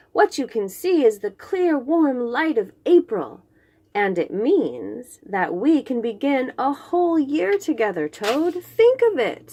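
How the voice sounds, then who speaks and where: A woman's put-on character voice, high-pitched and fairly slow, with very wide pitch swings. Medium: read story. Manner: eager, bright.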